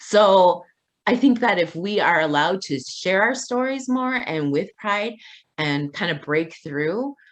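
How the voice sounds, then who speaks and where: A woman's medium-pitched voice at a fairly slow pace, full of very wide pitch swings. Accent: Midwestern. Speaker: community advocate. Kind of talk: interview. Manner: animated.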